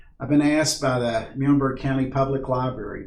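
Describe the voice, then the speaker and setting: Audible room echo surrounds this man's voice. Background noise can be noticed too. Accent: American. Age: 60s. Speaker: backpacking instructor. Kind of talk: tutorial. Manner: casual, halting with fillers.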